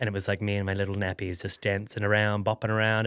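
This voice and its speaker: Very fast American-accented man's voice, fairly low in pitch, dry and close with no echo, on a very clean recording with a silent background. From New Zealand, coastal North Island town. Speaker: fitness instructor and former dancer, new stand-up comedian. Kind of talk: casual podcast interview. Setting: studio podcast, sitting on couch. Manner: chatty, many fillers and restarts.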